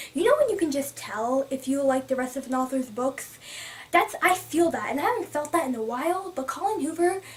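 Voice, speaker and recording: Against noticeable background noise, a woman talks at a fairly quick pace in a high, animated voice with lively intonation. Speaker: book vlogger. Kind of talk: casual vlog review. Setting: filming on camera. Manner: fast.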